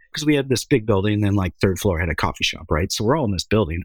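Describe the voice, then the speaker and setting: A man with an American accent talks at a very fast pace in a fairly low voice with lively intonation. The sound is dry and close with no echo, on a very clean recording with a silent background. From Minneapolis, US Midwest. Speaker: film director. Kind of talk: casual chat. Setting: studio.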